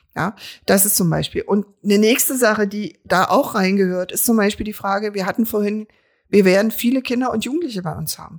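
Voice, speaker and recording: With an unremarkable speaking voice, a woman talks at a fairly quick pace at medium pitch, with ordinary pitch variation and big swings in loudness. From Berlin, Treptow-Köpenick. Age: 50s. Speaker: local politician and social worker. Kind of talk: casual interview.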